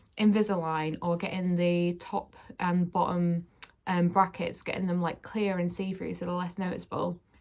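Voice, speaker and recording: Her pace is moderate. The woman talks with a British accent. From UK. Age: 20s. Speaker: YouTuber. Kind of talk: vlog. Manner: casual, many fillers.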